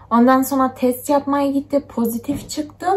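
A moderate pace with fairly even intonation. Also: woman. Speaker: vlogger. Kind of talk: casual vlog chat. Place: home room. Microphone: phone near.

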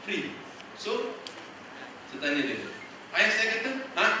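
Over noticeable background noise and strong room echo, a man speaks at a fairly slow pace. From Malaysia. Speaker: young teacher sharing experience. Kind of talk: talk to student teachers, casual and humorous. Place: hall.

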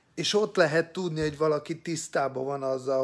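The setting is quiet. The speaker is a man. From Hungary. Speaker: political opinion vlogger. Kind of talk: opinion monologue. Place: home room. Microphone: phone near.

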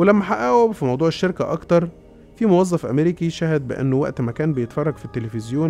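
A man talks at a fairly quick pace with lively intonation. Music plays in the background. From Egypt. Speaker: radio and TV presenter. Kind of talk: casual conspiracy-story narration.

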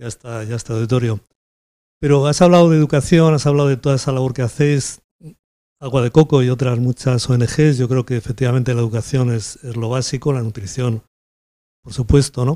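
A dark, mellow voice moves at a fairly quick pace with fairly even intonation over a quiet background. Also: man, medium pitch for a man. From Spain. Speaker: company president; host or institution representative. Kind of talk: welcome speech; Q&A comment to the lecturer. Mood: warm, appreciative. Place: hall.

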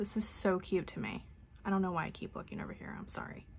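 The woman's voice is somewhat breathy. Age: 30s. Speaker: beauty YouTuber. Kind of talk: casual unboxing vlog. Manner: animated. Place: home room. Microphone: phone near.

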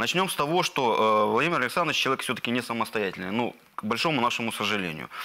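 A man talks at a very fast clip with hardly any pauses and lively intonation. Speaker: political analyst. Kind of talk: panel discussion. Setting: TV studio. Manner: hesitant, filler-heavy. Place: studio. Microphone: lapel.

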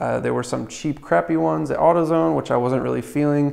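Lively intonation marks a man's speech, with a quiet background behind him. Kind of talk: tutorial. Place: garage. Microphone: camera far.

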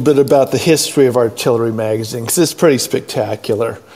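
A man talks at a very fast pace with an American accent. There is noticeable background noise. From Southern California. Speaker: online arts show host. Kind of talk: casual chat; scripted narration.

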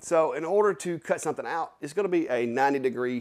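The background stays quiet. Over it, a man talks fairly quickly. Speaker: maker channel host. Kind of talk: tutorial. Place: workshop. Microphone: lapel.

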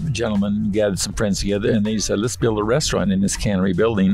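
A man speaks in a fairly low pitch with fairly even intonation. The sound is dry with no echo, and faint music plays in the background. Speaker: restaurant owner. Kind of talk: interview answer. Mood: reflective, storytelling. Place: car. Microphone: studio mic.

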